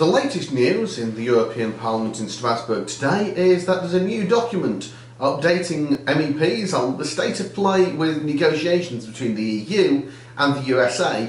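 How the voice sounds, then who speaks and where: At a moderate pace, the voice is heard with audible room echo. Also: man. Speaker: politician. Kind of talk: video diary commentary. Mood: critical, earnest.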